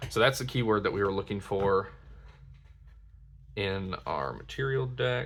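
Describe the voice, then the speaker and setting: Speaking at a fairly slow pace, a man leaves long, frequent pauses while his pitch swings very widely. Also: fairly low pitch for a man. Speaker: card game content creator. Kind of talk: product unboxing commentary. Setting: at home at night, others asleep.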